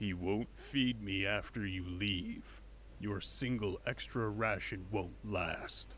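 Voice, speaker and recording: Over clear background noise, a put-on character voice moves at a fairly slow pace. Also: man, fairly low pitch for a man. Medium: voice reel. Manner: flat, blunt.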